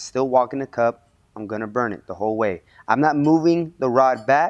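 Moderate-paced speech from a man with ordinary pitch variation, set against a quiet background. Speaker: welding instructor. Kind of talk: tutorial. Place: workshop.

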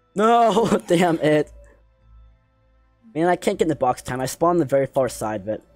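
Music plays behind a man whose fairly high voice moves in very wide pitch swings, the sound dry and close with no echo. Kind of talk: casual gaming banter.

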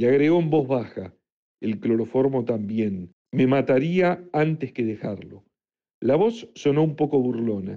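A man speaks in a dramatic tone. His pace is fairly slow. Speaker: audiobook narrator. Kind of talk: literary audiobook reading. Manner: measured, dramatic narration.

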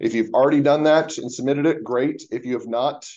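A man talks at a fairly quick pace over a quiet background. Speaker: university instructor. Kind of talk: lecture. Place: office. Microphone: webcam.

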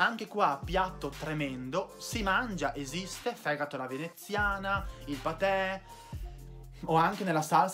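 Clear music plays in the background as the speaker talks in an upbeat tone with lively intonation. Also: man. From Veneto, Italy. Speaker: video creator. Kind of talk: casual talk to camera. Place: home room. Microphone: phone near.

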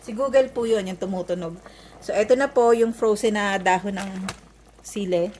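A woman speaks at medium pitch and a moderate pace, with ordinary pitch variation. Her loudness swings a lot, and background noise is noticeable. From Philippines, Manila. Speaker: vlogger. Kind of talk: vlog voiceover.

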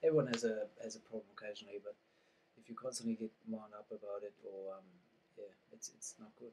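A man at a medium pitch and very fast pace, with monotone, flat intonation, long, frequent pauses and light background noise. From Germany. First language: German. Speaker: guest on spirituality podcast. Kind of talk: casual chat. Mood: reflective, calm. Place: home room.

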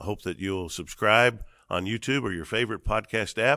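A man's fairly low voice with vocal fry and a bright, sharp tone, lively in intonation, at a moderate pace against a quiet background. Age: 50s. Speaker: podcast host, seminary dean and pastor; podcast host, pastor. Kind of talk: interview conversation. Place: studio. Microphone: studio mic.

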